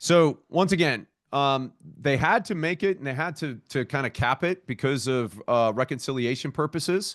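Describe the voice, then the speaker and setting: A man with a plain, everyday voice speaks at a moderate pace, his fairly high pitch moving in lively intonation, the sound dry and close with no echo over a quiet background. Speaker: opportunity zone tax expert presenting to a community call. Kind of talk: webinar presentation.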